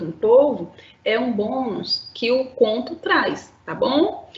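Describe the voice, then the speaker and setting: Amid noticeable background noise, a woman speaks at a very slow pace. Her fairly high voice moves in very wide pitch swings. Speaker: school teacher. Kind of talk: lecture. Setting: live-streamed online class.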